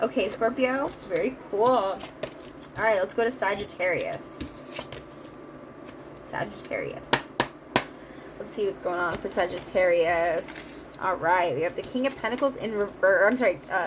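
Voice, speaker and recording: Speaking at a medium pitch with lively intonation, a woman leaves long, frequent pauses over noticeable background noise. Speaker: tarot reader. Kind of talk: tarot reading monologue. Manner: fast; many filler words.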